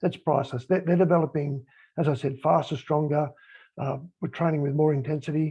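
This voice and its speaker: A man with an Australian accent speaks at a fairly quick pace in a fairly high, dark, mellow voice. He sounds somewhat breathy, and his intonation is monotone and flat. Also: quiet background. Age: 60s. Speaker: sports high performance manager, former rugby league player. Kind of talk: panel discussion on a call. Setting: group call.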